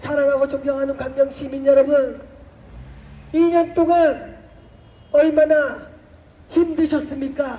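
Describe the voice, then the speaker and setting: Pitched high, a woman talks very slowly with long, frequent pauses. Her intonation stays flat and monotone. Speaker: politician. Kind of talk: campaign speech. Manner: loud, rousing.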